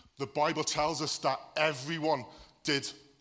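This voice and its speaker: With a slight Welsh accent, the voice has a bright, sharp tone, a fairly slow pace and monotone, flat intonation. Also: man. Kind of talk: sermon.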